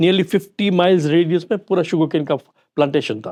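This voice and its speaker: A man talks in a high register, varying his pitch an ordinary amount. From Kenya (Kisumu), Gujarati family. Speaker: retired businessman. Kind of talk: interview.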